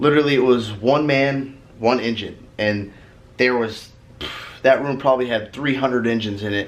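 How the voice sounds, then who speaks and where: A man at medium pitch talks with fairly even intonation in audible room echo. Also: moderate pace. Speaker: automotive vlogger. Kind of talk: casual vlog talk. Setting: hotel room.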